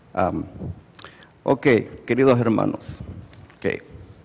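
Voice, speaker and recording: This man speaks with a Spanish accent. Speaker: lay preacher. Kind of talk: bilingual sermon. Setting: church. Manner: repeats each part in English and Spanish.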